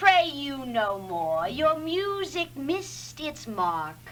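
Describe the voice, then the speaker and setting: A female-sounding put-on character voice, high in pitch, very slow, with very wide pitch swings and clear background noise. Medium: stage play.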